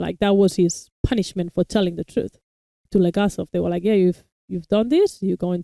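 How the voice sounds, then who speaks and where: A woman with a non-native accent speaks at a medium pitch in a dark, mellow tone. The sound is dry and close, with no echo. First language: not English. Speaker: reaction video host. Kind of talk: casual review chat.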